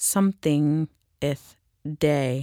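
Recorded very cleanly against a silent background, a woman's voice comes across dry and close with no echo. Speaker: podcast host. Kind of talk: news reading then interview.

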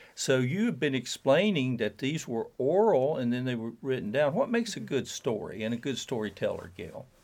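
A man with a plain, everyday voice and medium pitch talks at a moderate pace with hardly any pauses. The recording is very clean, with a silent background. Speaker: radio host. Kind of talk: radio interview. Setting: on campus, radio show.

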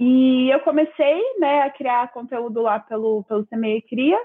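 Pitch moves up and down in an ordinary way. The delivery is very slow. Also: woman. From Brazil, Campinas, São Paulo. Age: 20s. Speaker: designer and content creator. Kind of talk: casual interview chat. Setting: video call live stream.

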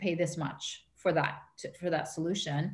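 Audible echo from the room surrounds the voice. Delivery is fairly slow. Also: woman. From Canada. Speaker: marketing strategist. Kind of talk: interview.

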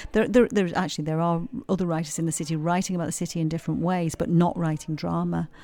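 Talking very fast with a Yorkshire accent, a woman has a fairly low pitch, a dark, mellow tone and fairly even intonation, recorded very cleanly against a silent background. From Yorkshire, England. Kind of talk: interview about her play. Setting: quiet corner at a heritage centre.

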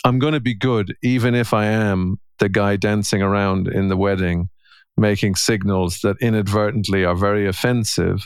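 A man with an Irish accent speaks at a moderate pace, at very even loudness and with fairly even intonation. The recording is very clean, with a silent background. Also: fairly low pitch for a man. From Ireland. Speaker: podcast host and coach. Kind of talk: casual chat.

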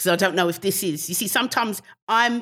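The speaker has a British accent and a bright, sharp tone, talking at a moderate pace in a very clean recording with a silent background. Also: woman. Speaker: comedian. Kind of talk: casual chat.

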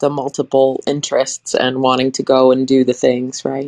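A woman speaks with a very deep, low pitch. The sound is dry and close, with no echo. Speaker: artist community member. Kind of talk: casual group discussion. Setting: live audio app room.

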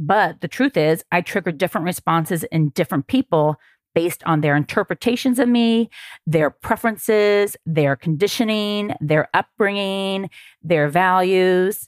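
Lively in intonation, a woman talks at a moderate pace and medium pitch with very even loudness, in a very clean recording with a silent background and a dry, close sound with no echo. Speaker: dating coach and podcast host. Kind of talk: solo podcast monologue.

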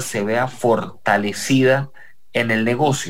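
A man talks at a very slow pace. His pitch is medium, with ordinary variation. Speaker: radio host. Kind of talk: radio interview.

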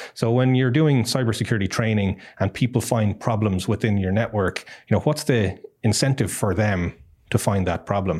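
A man's fairly low voice in an Irish accent, with ordinary pitch variation, moderate pace and very even loudness. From Ireland. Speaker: tech company executive. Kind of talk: interview conversation. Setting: studio.

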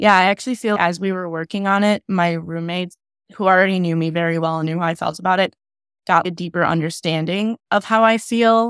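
This woman has a normal speaking voice, medium in pitch, delivered at a fairly quick pace in a dry, close sound with no echo. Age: 20s. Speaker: graphic designer and filmmaker. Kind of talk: casual chat.

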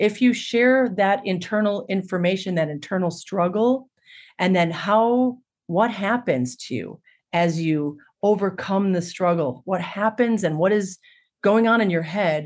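An ordinary speaking voice, a woman's at medium pitch, comes at a fairly slow pace in a very clean recording with a silent background. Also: ordinary pitch variation. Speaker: storyteller and musician. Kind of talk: interview conversation.

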